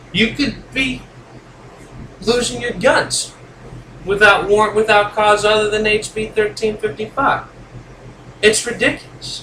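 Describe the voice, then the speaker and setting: A high-pitched man at a fairly slow pace, with fairly even intonation, long, frequent pauses and noticeable background noise. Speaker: YouTube vlogger. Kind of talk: rant.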